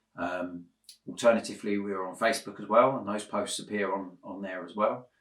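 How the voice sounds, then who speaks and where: This man's fairly low voice moves at a fairly quick pace, with ordinary pitch variation and big swings in loudness. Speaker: Lego building YouTuber. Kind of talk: casual building vlog. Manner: hesitant, many fillers; a bit quiet while concentrating.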